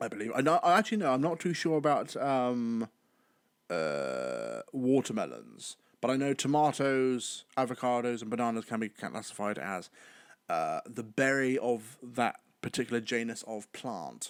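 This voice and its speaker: A man with a British accent speaks at a medium pitch and a moderate pace with ordinary pitch variation. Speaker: podcaster. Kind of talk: casual solo podcast monologue. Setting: home recording while live streaming. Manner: well-spoken, articulate.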